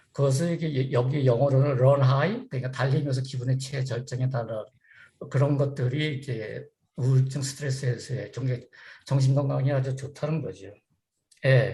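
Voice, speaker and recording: This man has a dark, mellow tone at a medium pitch, somewhat breathy, with fairly even intonation at a moderate pace. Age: 60s. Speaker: running seminar speaker. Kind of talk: talk to online community group. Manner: halting, many fillers.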